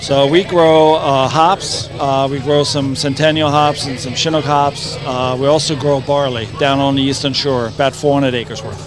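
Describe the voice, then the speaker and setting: A man with a German accent, fairly high in pitch and monotone, flat in intonation, at a moderate pace with hardly any pauses, over noticeable background noise. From East Germany. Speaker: brewery representative. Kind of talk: casual interview. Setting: outdoor festival.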